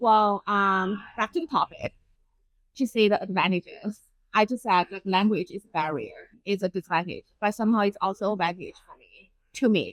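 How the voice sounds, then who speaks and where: A woman's medium-pitched voice with a Chinese accent, moderate pace and ordinary pitch variation, in a dry, close sound with no echo. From China. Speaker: urban designer. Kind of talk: interview.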